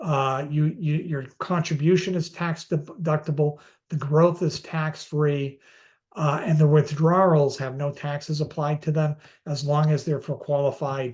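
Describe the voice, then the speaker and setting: Over a quiet background, a man with a fairly high, somewhat breathy voice speaks at a fairly slow pace in a monotone, flat delivery. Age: 60s. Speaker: finance expert, former asset management executive. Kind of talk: webinar presentation. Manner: halting, many fillers and repeats.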